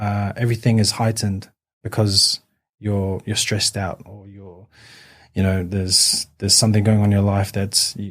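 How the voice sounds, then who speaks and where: A man with a New Zealand accent, fairly low-pitched, monotone and flat, at a moderate pace with big swings in loudness, on a very clean recording with a silent background. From New Zealand, West Auckland (partly raised in Newcastle, England). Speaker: amateur boxer. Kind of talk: podcast interview. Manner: halting, many fillers.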